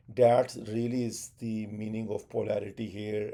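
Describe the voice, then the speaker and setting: Dark and mellow in tone, a man speaks at a medium pitch with a Pakistani accent. His intonation is monotone and flat. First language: Urdu. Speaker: tech educator. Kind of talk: tutorial. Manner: halting, many fillers.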